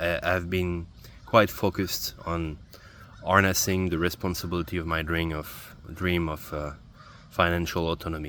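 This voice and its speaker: A man with a non-native accent speaks in a very deep, low voice, his tone bright and sharp and his intonation fairly even. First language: not English. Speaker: video journaling vlogger. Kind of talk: personal video journal monologue. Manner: halting, with repetitions.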